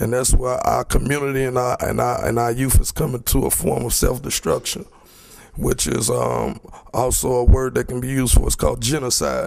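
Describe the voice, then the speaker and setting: A man talks at a fairly quick pace. Noticeable background noise is heard behind him. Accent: American. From Chicago, US. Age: 20s. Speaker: community member speaking at a public forum. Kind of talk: public forum speech. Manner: halting, many repetitions and fillers.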